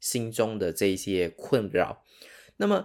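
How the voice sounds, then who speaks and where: Fairly low male voice with ordinary pitch variation, in a very clean recording with a silent background. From Sarawak, East Malaysia. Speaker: hypnotherapist and podcast host. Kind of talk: solo podcast monologue. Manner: casual, with many fillers.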